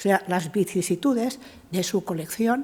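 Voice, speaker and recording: In a Catalan accent, a woman talks at a fairly slow pace with ordinary pitch variation. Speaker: art historian, professor. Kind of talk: conference talk. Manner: halting, many fillers.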